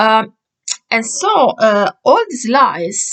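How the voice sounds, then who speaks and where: In a dry, close sound with no echo, a woman speaks with an Italian accent. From Italy. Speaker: vlogger. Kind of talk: casual monologue vlog. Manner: hesitant, many fillers.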